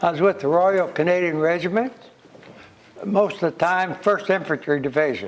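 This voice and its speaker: A high-pitched man with an American accent at a moderate pace, with ordinary pitch variation. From United States. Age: 90s. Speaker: war veteran. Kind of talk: interview testimony. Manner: halting.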